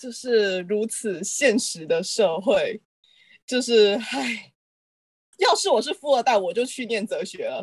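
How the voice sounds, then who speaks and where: Her intonation lively, a woman speaks at a very slow pace in a fairly high pitch. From Malaysia. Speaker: pharmacy graduate. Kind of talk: casual chat.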